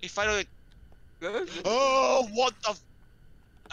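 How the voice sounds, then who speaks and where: A man's bright, sharp voice in a dry setting with no echo. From UK. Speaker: gamer. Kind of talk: casual chat. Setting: online voice chat. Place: home room. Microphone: headset.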